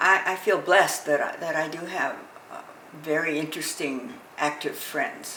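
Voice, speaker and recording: A woman with a very deep, low pitch speaks at a moderate pace with ordinary pitch variation and big swings in loudness, amid audible room echo and noticeable background noise. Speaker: elderly interviewee. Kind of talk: documentary interview. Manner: halting, with fillers.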